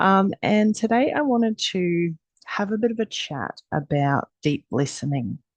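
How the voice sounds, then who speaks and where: Speaking at a fairly slow pace with an Australian accent, a woman at a medium pitch makes very wide pitch swings in a dry, close sound with no echo. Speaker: energy healer. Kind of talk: casual talk to camera. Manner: hesitant, many fillers.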